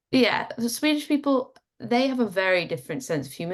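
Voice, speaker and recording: Using vocal fry, a woman speaks at a fairly quick pace with very wide pitch swings. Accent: British. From England. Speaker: business psychologist. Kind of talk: casual panel discussion.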